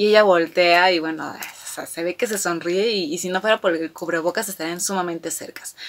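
At a moderate pace, a woman is speaking. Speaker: fan vlogger. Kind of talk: casual vlog chat. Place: home room.

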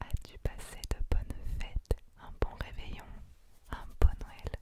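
Someone whispers at a very slow pace, with big swings in loudness. Noticeable background noise is present. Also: woman. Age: 20s. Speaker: ASMR creator. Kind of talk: ASMR whisper talk to camera. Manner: soft-spoken, whispered.

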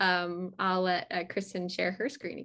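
This woman has a fairly bright tone and an American accent. She talks at a moderate pace in a monotone, flat intonation.

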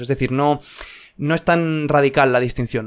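Against a quiet background, a man talks at a moderate pace with fairly even intonation. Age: 20s. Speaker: YouTube educator. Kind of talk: improvised video monologue. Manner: hesitant, many fillers. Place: home room. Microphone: studio mic.

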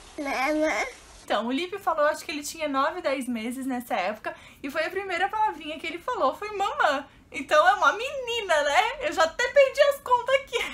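In an extremely high pitch with very wide pitch swings, a woman talks in an animated tone. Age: 30s. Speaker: YouTuber; vlogger. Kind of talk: casual vlog. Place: home room. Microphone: camera far.

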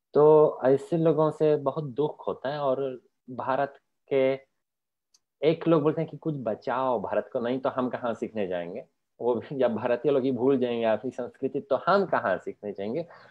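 A man with a Polish accent speaks at a fairly slow pace and a medium pitch, with ordinary pitch variation. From Poland. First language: Polish (speaking Hindi). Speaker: Sanskrit scholar; guest. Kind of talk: interview. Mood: calm, reflective, earnest. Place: home room. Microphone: video call.

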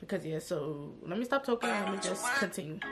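A woman with an American accent at a fairly quick pace, music in the background. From New York City. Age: 20s. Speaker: vlogger and hairstylist. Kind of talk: casual talk to camera. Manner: casual, chatty. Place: home room. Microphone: phone near.

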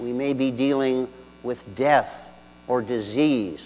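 A man's medium-pitched voice at a very slow pace, with ordinary pitch variation and noticeable background noise. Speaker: deacon. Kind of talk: homily. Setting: church. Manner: formal; measured, earnest.

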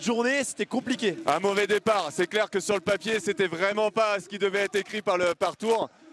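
A man at a moderate pace, dry sound with no echo, faint music behind him. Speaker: sports commentator. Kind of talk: commentary. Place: stadium. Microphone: handheld.

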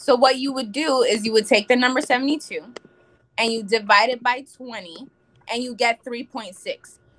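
At a fairly slow pace, a woman speaks with high pitch and ordinary pitch variation. Her loudness shows big swings. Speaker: financial representative; guest. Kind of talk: talk show interview. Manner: animated. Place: home room. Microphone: video call.

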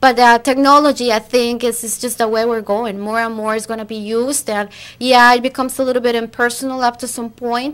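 A woman with a Costa Rican accent speaks at a fairly quick pace with hardly any pauses. Her high voice stays monotone and flat. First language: Spanish. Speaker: recruiter; guest. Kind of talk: interview. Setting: studio. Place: studio. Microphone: studio mic.

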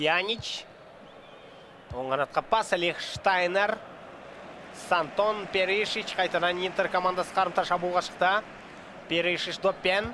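Moderate pace broken by long, frequent pauses. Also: man, high pitch for a man. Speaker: esports commentator. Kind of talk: live commentary. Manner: animated.

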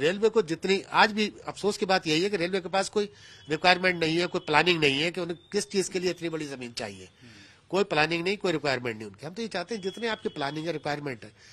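A man talks fairly quickly in a high voice, and his pitch shifts in an ordinary way. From Haldwani, Uttarakhand; Uttarakhand, India. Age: 60s. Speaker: local resident and former public representative. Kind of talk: news interview. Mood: aggrieved, earnest. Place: home room. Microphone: handheld.

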